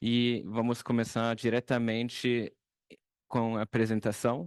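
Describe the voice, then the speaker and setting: A man speaks with a non-native accent against a quiet background. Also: dry, close sound with no echo. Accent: rusty non-native Portuguese. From Germany. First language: German (speaking Portuguese). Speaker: product and application specialist. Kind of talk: webinar presentation. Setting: online webinar. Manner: halting, many fillers.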